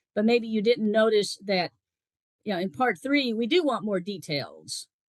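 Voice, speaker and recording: A woman's unremarkable speaking voice, fairly high in pitch, at a moderate pace with lively intonation, in a dry, close sound with no echo. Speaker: former IELTS examiner and teacher. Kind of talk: spoken exam feedback.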